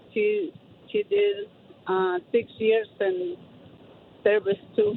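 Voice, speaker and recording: A woman with a non-native accent speaks at a very slow pace and a medium pitch. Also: ordinary pitch variation. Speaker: caller. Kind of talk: phone-in testimony. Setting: phone call. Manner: halting.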